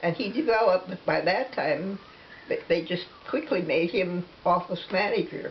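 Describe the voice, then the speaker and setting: A woman's medium-pitched voice at a moderate pace, with lively intonation and noticeable background noise. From Nebraska. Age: 80s+. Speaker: interviewee. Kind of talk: casual chat. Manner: halting.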